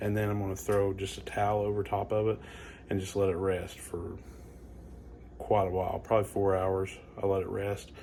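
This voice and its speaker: Quiet, dark, mellow speech from a man with fairly low pitch, fairly quick pace, monotone, flat intonation, and long, frequent pauses. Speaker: home cook / barbecue channel host. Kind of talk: casual cooking tutorial. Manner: casual, relaxed; quiet, hushed.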